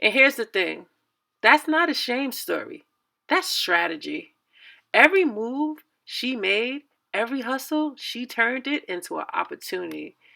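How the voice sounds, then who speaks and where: Projecting her voice at a high pitch, a woman speaks at a moderate pace with a bright, sharp tone and very wide pitch swings, on a very clean recording with a silent background. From New York, Red Hook, Brooklyn. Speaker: YouTuber, commentary host. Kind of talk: video commentary, casual storytelling.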